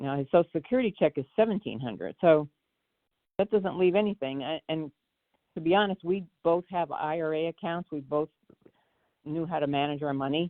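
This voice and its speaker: A woman with a very deep, low pitch talks at a fairly quick pace, with ordinary pitch variation. Her pauses are long and frequent. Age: 60s. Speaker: retired caller. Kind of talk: caller question. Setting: phone call.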